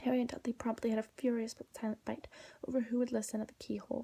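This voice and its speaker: A woman's soft-spoken, somewhat breathy whispering at a very fast pace, with a dry, close sound and no echo. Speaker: ASMR artist. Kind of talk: whispered audiobook reading. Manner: whispered, soft-spoken.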